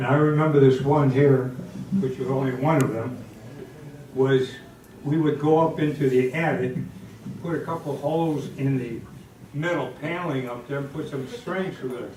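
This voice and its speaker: Over noticeable background noise and audible room echo, a man with an American accent talks at a moderate pace with long, frequent pauses, fairly even intonation and a fairly high pitch. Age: 90s. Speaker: community elder. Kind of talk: reminiscing speech.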